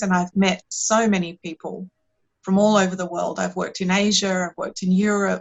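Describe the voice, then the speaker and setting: Woman with an Australian accent, medium pitch, monotone, flat intonation and a moderate pace. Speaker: meditation and performance coach. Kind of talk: podcast interview. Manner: hesitant, with fillers and repeats.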